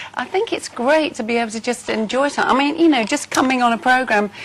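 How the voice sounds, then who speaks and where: Noticeable background noise surrounds the speaker. A woman with an English Midlands accent talks at a very fast pace in a high pitch. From England, Nottingham. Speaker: singer. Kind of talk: TV chat show interview.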